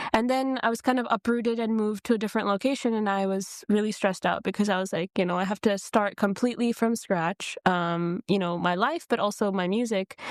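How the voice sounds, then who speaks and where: A woman with an American accent talks at a fairly quick pace with hardly any pauses, using a normal speaking voice at medium pitch with ordinary pitch variation, and the sound is dry and close with no echo. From US Midwest, Detroit, Michigan. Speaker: singer and dancer. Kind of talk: podcast interview.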